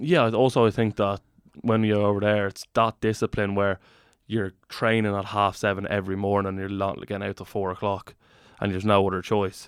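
In a Dublin accent, a man talks at a fairly quick pace with a fairly low pitch and monotone, flat intonation. The recording is very clean with a silent background and a dry, close sound with no echo. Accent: Irish (Dublin). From Ireland. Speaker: professional rugby player. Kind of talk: casual chat.

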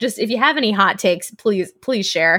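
The pitch rises and falls in an ordinary way. It is a natural reading voice.

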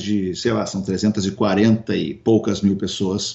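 A man delivers his words with monotone, flat intonation. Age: 50s. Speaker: radio broadcaster and entrepreneur. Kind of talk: interview. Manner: hesitant with frequent repetitions.

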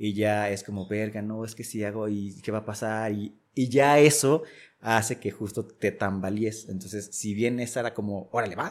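In a very clean recording with a silent background, a man of fairly low pitch speaks at a moderate pace with fairly even intonation. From Jalisco, Mexico (Casimiro Castillo, south coast). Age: 30s. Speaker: graphic designer. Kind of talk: life-story interview.

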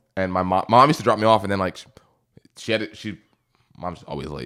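Speaking at a very fast pace, a man is heard on a very clean recording with a silent background. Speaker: paralegal. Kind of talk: casual chat.

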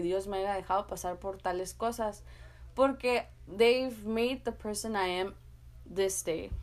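A normal speaking voice from a woman at medium pitch, with ordinary pitch variation and a fairly slow pace. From US-Mexico border, San Luis, Arizona. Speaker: podcast host. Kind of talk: motivational monologue.

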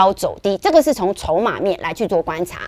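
Amid noticeable background noise, a woman speaks at a moderate pace with very wide pitch swings, her voice dry and close with no echo. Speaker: stock market analyst. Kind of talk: market commentary show. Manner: animated.

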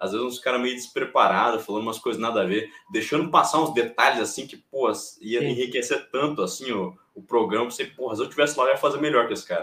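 A man with a medium pitch rattles along at a very fast pace, his pitch varying in an ordinary way. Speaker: MMA youtuber and commentator. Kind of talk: casual chat. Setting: live stream.

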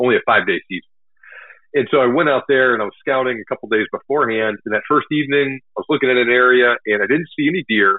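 This man talks very fast with an American accent. His pitch sits in the medium range. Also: ordinary pitch variation. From Texas, north of Houston. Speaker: hunting blogger and army veteran. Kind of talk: interview. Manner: casual, filler-heavy.

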